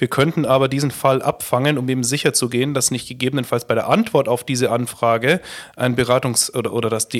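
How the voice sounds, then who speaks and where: A very fast delivery with ordinary pitch variation on a very clean recording with a silent background. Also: man. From Upper Palatinate, Bavaria. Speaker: company founder and managing director. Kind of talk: podcast interview.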